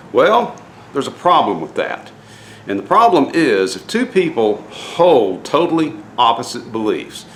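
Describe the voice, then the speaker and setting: A man's fairly high voice at a fairly slow pace, with very wide pitch swings over noticeable background noise. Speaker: DIY boat builder and faith vlogger. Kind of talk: casual vlog talk with devotional message. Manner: halting, many fillers.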